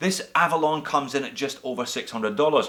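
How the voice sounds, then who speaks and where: A bright, sharp tone with a Scottish accent. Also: man. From Scotland. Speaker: watch reviewer, YouTuber. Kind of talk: product review.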